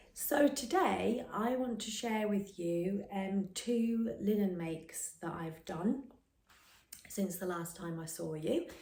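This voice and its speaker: A woman at medium pitch and a very slow pace, with audible room echo and noticeable background noise. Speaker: sewing vlogger. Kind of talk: casual vlog chat. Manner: hesitant with fillers.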